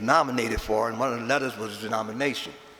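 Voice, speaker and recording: Amid noticeable background noise and audible room echo, a man with a New Orleans accent speaks at medium pitch with fairly even intonation. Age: 70s. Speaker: Mardi Gras Indian chief. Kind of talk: eulogy speech. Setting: chapel with audience.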